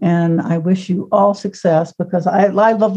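A woman's somewhat breathy, dark, mellow voice at a medium pitch with monotone, flat intonation. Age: 70s. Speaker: book editor. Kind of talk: casual chat.

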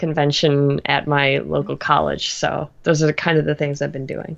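Woman with vocal fry over a quiet background. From Canada. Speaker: animator and web creator. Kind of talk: casual interview.

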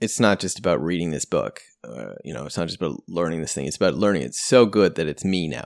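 Very deep and low with vocal fry, a man's voice races at a very fast pace with lively intonation and hardly any pauses. The recording is very clean and dry, close with no echo, against a silent background. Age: 30s. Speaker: government employee and LSAT tutor. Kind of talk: casual conversation.

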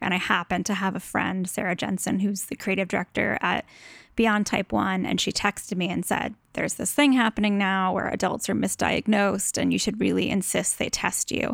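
At a fairly quick pace, a woman talks with vocal fry, medium pitch and fairly even intonation, in a very clean recording with a silent background and a dry, close sound with no echo. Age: 30s. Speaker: design blogger. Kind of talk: interview.

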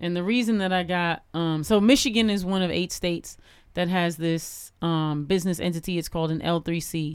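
An ordinary speaking voice from a woman, fairly low in pitch, with ordinary pitch variation, at a fairly quick pace, on a very clean recording with a silent background. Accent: American. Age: 40s. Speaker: cultural activist and podcaster. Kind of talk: casual chat.

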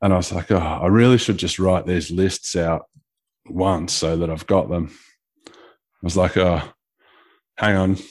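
This man has a very deep, low pitch and fairly even intonation. He talks at a fairly slow pace with long, frequent pauses. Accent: Australian. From Australia (Geelong, Victoria). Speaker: carpenter and app developer. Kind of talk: casual chat.

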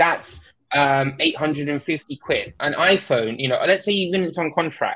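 A man's high-pitched voice with an English accent, very slow in pace, bright and sharp in tone, with ordinary pitch variation. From UK. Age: 20s. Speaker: tech content creator. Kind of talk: casual chat.

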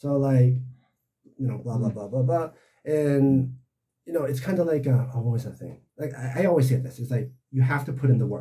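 This man has a somewhat breathy, dark, mellow tone at a medium pitch, with an American accent. He talks at a moderate pace with fairly even intonation and long, frequent pauses. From United States. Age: 40s. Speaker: photographer. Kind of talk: casual chat.

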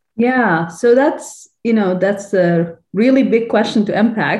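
Lively intonation in a woman's somewhat breathy, fairly high voice. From Sudan. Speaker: infectious disease physician. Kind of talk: interview conversation.

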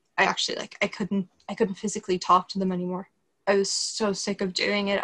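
The delivery is monotone, with flat intonation. It moves at a fairly quick pace. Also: woman. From Ireland. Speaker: Lyme disease patient. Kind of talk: interview. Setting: remote call.

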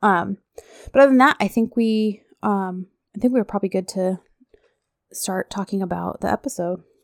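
Her medium-pitched voice moves at a moderate pace with ordinary pitch variation and long, frequent pauses, the woman recorded dry and close with no echo on a very clean recording with a silent background. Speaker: podcast co-host recapping a TV series. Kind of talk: casual chat. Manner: animated.

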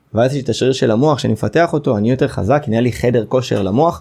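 Over a quiet background, a man with a dark, mellow tone and medium pitch speaks at a very fast pace. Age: 30s. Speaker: personal development coach and college founder. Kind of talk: interview. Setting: studio.

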